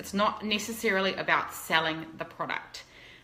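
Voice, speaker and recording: A woman speaks with a New Zealand accent. Her pitch sits fairly low, with ordinary variation. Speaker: fashion blogger and influencer. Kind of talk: interview. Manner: fast.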